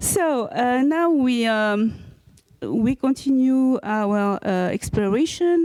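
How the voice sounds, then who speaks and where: Speaking with a strong French accent, a woman talks at a very slow pace in a fairly high pitch, her tone dark and mellow and her intonation lively. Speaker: panel moderator. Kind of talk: panel discussion. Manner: halting, many fillers.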